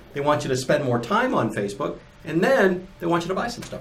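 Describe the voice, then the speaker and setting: A man races along at a very fast pace, with noticeable background noise and audible room echo in the recording. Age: 50s. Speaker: podcast co-host, apparel equipment business. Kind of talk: casual chat.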